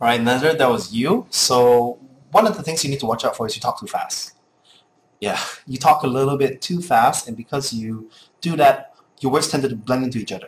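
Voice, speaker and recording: A man talks at a fairly quick pace in a fairly high, somewhat breathy voice. His intonation is lively. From Singapore. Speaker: casting coach. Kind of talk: critique feedback.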